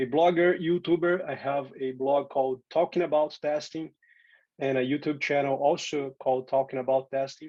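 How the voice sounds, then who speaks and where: A man with a Portuguese accent, fairly high in pitch, at a moderate pace with fairly even intonation. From Brazil. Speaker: software testing speaker and teacher. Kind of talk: conference tech talk.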